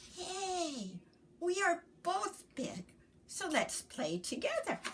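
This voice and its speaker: A woman's put-on character voice, extremely high and squeaky, at a very slow pace. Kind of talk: bedtime story. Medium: read story.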